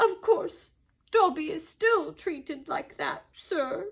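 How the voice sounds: A woman uses a put-on character voice at an extremely high pitch, talking slowly with lively intonation.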